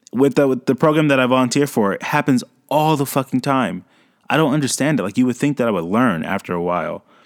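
A man with a medium pitch and lively intonation talks at a very fast pace, in a very clean, dry, close recording with a silent background and no echo. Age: 30s. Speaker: podcast host. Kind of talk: casual monologue. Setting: home recording with USB mic.

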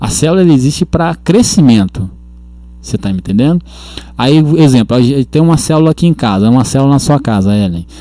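A man with a dark, mellow tone talks at a fairly quick pace with lively intonation. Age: 40s. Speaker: worship leader. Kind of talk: casual chat.

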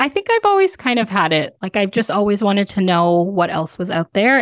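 A woman with a Canadian accent talks in a plain, everyday voice at medium pitch with ordinary pitch variation, the sound dry and close with no echo. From Canada. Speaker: sex educator and travel content creator. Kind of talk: casual interview chat. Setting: remote recording from home.

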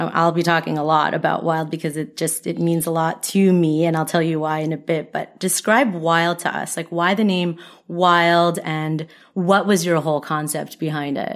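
On a very clean recording with a silent background, a woman with an unremarkable speaking voice talks at a moderate pace in a fairly low pitch, her intonation fairly even. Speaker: podcast host. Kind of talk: casual interview chat.

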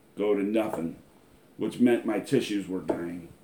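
A man with an American accent talks at a fairly slow pace. His tone is dark and mellow, with ordinary pitch variation. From US Midwest, Lima, Ohio. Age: 40s. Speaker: internet ministry broadcaster. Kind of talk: religious exhortation; testimony.

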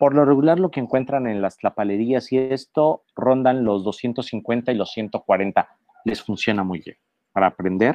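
A fairly slow man's delivery in an ordinary speaking voice, mid-pitched with ordinary pitch variation. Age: 40s. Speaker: journalist and food writer. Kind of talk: casual chat.

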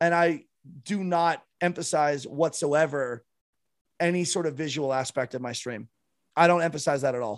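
With a Canadian accent, a man speaks at a moderate pace and a fairly high pitch, using ordinary pitch variation and long, frequent pauses. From Canada. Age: 30s. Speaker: streamer and former musician. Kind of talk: casual chat.

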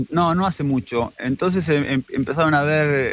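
The sound is dry and close with no echo as a man speaks at a fairly slow pace. His pitch is fairly high, with ordinary variation. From Argentina, La Plata. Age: 40s. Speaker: photographer. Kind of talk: radio interview. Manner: halting.

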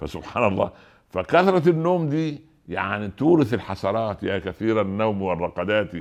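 With an Egyptian accent, a man speaks at a moderate pace in an animated tone with lively intonation over a quiet background. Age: 60s. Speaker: preacher. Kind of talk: sermon.

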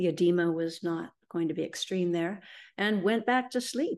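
With a Canadian accent and lively intonation, a woman speaks at a moderate pace in an unremarkable speaking voice over a quiet background. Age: 60s. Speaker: feng shui consultant. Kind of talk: interview testimony.

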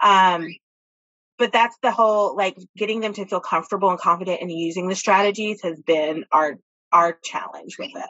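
An ordinary speaking voice moves at a moderate pace, with ordinary pitch variation and big swings in loudness. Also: woman, medium pitch for a woman. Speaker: school counselor, state association president. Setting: video call from home.

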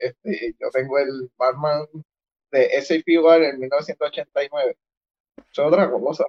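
A man with a Puerto Rican accent at a very slow pace, with long, frequent pauses. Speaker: toy collector. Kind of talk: casual chat.

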